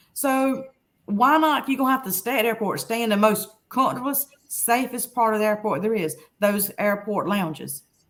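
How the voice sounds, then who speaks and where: A woman with a Southern US accent talks at a moderate pace and a fairly high pitch. The recording is very clean, with a silent background. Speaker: travel blogger. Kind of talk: interview answer.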